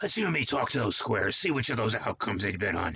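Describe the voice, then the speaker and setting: In a put-on character voice, a man talks very fast at a medium pitch with very wide pitch swings and very even loudness. His voice is raspy and rumbling. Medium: read story. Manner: blunt, menacing.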